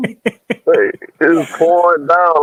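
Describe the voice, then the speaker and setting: In a Louisiana accent, a man speaks with ordinary pitch variation in a dry, close sound with no echo. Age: young. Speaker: panel regular on a bible study show. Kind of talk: casual chat. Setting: in a car. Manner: halting.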